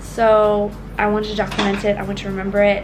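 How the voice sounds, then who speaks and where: Room echo is clearly audible as a woman talks at an even, moderate speed through noticeable background noise. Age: 20s. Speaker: vlogger with a pacemaker. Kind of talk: personal vlog to camera.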